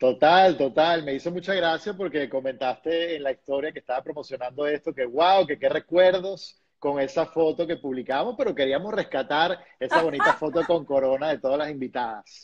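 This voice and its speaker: Against a quiet background, a man talks at a moderate pace with hardly any pauses and ordinary pitch variation. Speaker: TV personality, interviewer. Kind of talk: live video interview host. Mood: warm, enthusiastic. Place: home room. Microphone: video call.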